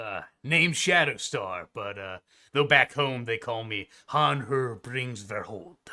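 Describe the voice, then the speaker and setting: Using a put-on character voice at medium pitch, a man speaks at a fairly slow pace with lively intonation and big swings in loudness. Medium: actual play. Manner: relaxed, casual.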